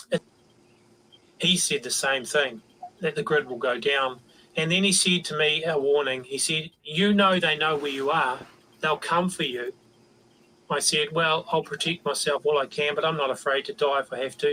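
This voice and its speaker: Taking long, frequent pauses at a moderate pace, the speaker has a New Zealand accent, a bright, sharp tone and ordinary pitch variation. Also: man, fairly high pitch for a man. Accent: Kiwi. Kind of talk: reading aloud an email.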